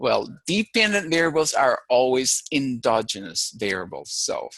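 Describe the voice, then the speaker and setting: Someone speaks with a Filipino accent in a dry, close recording that has no echo. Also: man. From Philippines. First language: Filipino language. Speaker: university lecturer. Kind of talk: lecture.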